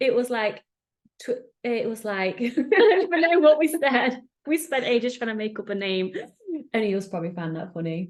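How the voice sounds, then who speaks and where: This woman has a high voice with an English accent, and her pitch swings very widely. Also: moderate pace. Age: 30s. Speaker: podcast host. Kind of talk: casual chat. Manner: animated.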